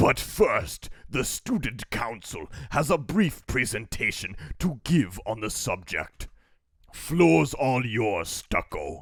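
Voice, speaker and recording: A man in a put-on character voice, medium in pitch, at a very slow pace. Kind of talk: imitation of a gruff video game military voice. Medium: game stream. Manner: shouting.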